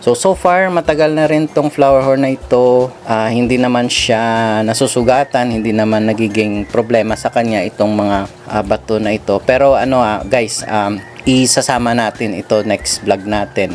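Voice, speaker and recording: Over noticeable background noise, a man at medium pitch talks at a moderate pace with ordinary pitch variation and hardly any pauses. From Western Visayas, Philippines (Ilonggo). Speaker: fish hobbyist vlogger. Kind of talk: casual vlog talk. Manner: casual, hesitant with fillers.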